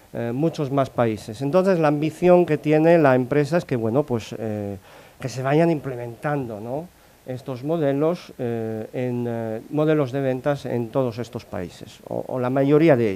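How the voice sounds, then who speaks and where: A man's dark, mellow tone unfolds at a fairly slow speed. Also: medium pitch for a man, ordinary pitch variation. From Italy. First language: Italian (speaking Spanish). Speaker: corporate sales modelling analyst. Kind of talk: conference talk. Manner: halting, many fillers.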